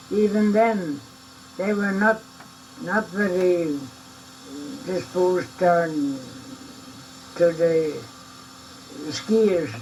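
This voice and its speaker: A man at a high pitch and a very slow pace, with long, frequent pauses and noticeable background noise. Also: ordinary pitch variation. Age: 80s+. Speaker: ski pioneer, trail builder. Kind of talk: interview answer.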